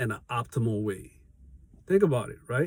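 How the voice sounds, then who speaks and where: This man's voice has a dark, mellow tone. It comes across somewhat breathy. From Haiti. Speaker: small business owner, vlogger. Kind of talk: motivational vlog talk. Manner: conversational, with fillers and self-corrections.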